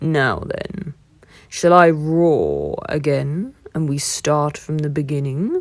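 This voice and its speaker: Using a put-on character voice, a woman speaks at a very slow pace with a very deep, low pitch. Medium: read story.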